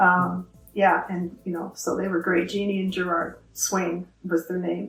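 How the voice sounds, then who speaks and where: Monotone, flat intonation at a fairly slow pace, with an Ontario accent and music in the background. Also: woman, fairly low pitch for a woman. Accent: Canadian (Ontario). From Ontario, Canada. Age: 60s. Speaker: knitting group co-founder. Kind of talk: interview. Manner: halting.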